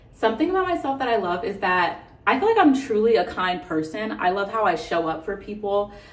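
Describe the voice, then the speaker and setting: A woman at medium pitch, fairly quick and with hardly any pauses, lively in intonation, amid audible room echo and noticeable background noise. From US West Coast, San Francisco Bay Area. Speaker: beauty vlogger. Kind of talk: casual chat. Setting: hotel room. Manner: fast.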